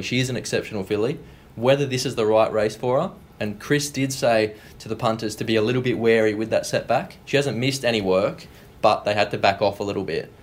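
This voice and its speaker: A medium-pitched man with an Australian accent, talking at a fairly quick pace with ordinary pitch variation. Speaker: racing industry analyst, guest. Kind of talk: casual chat. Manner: relaxed, knowledgeable.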